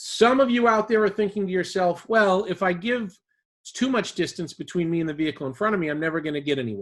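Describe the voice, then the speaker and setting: A man with a Boston accent talks very fast in a high voice, his intonation lively. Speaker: driving safety instructor. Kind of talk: webinar presentation. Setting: online webinar.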